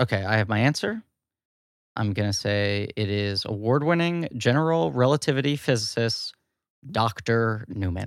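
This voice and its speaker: A man with a medium pitch speaks with lively intonation in a very clean recording with a silent background. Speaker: podcast host and voice actor. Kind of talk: casual chat. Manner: slow.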